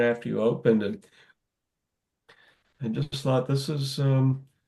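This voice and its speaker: A man with a plain, everyday voice, medium in pitch, at a moderate pace and with an American accent. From Massachusetts. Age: 60s. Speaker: author. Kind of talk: interview.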